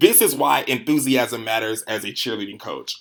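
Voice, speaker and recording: Loud and animated, a man speaks at a moderate pace with a bright, sharp tone. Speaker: cheerleading coach. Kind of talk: conference presentation.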